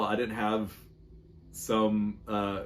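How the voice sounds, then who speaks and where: This man has a Southern US accent. His voice sits at a medium pitch. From North Carolina, US South. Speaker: musician. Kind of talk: recorded video answers for a podcast interview. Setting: at home. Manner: fast; casual, loose enunciation.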